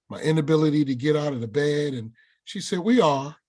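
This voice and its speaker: An animated man with a northern US accent and a fairly high pitch. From New York. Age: 60s. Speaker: workshop presenter and army combat veteran. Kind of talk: webinar talk with personal storytelling. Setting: video webinar.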